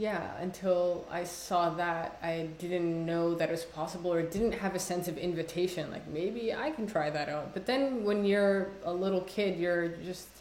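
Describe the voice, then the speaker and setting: There is audible room echo and noticeable background noise as a woman with a fairly low pitch talks at a moderate pace with fairly even intonation and hardly any pauses. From Somalia. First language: Somali. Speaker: poet. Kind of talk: casual conversation interview. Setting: video call. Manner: halting, many fillers.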